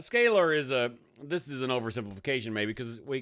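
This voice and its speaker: In a very clean recording with a silent background, a man with a Texas accent speaks at a medium pitch and a fairly quick pace, his tone bright and sharp and his intonation lively. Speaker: math teacher. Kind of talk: video lesson. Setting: hot room. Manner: casual, conversational.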